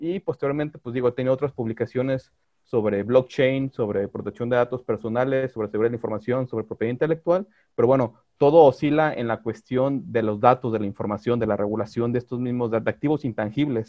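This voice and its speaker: Very fast pace and ordinary pitch variation from a man. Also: medium pitch for a man. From Mexico, Guadalajara. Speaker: lawyer specializing in digital law. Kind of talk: podcast interview.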